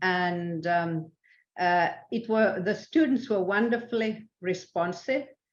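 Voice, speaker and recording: A woman talks at a very slow pace with a Swedish accent. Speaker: international arbitrator. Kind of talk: interview. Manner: halting, many fillers.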